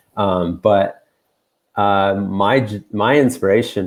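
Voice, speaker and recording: Speaking slowly, though not very slowly, a man talks with an American accent. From United States. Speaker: peace worker. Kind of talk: panel discussion.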